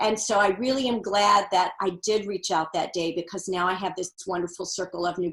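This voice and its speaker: A woman with an unremarkable speaking voice talks at medium pitch and a moderate pace, with fairly even intonation. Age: 60s. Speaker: author and women's seminar leader. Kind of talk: interview.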